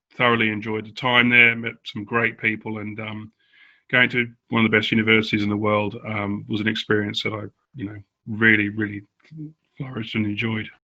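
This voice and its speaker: In a very clean recording with a silent background, a man with an Australian accent speaks fairly quickly in a bright, sharp tone at a fairly low pitch, with monotone, flat intonation and long, frequent pauses. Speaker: former professional cricketer. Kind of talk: casual interview. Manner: hesitant with fillers.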